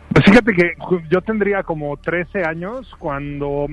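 Against noticeable background noise, a man speaks in a high voice with ordinary pitch variation. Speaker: film festival programmer, university film director. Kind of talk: casual chat, film discussion. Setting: remote call from a noisy place.

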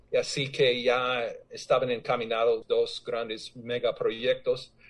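A man speaks at a very slow pace. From United States. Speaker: anthropologist. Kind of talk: award speech.

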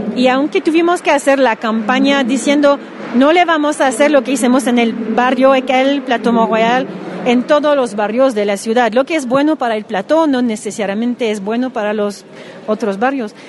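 A woman with high pitch and ordinary pitch variation speaks at a moderate pace against noticeable background noise. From Quebec (Montreal). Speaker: city councillor. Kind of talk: interview. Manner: halting.

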